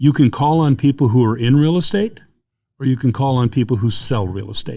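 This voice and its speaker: Medium pitch and ordinary pitch variation from a man. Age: 60s. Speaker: mortgage industry advisor. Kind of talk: podcast interview. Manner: animated.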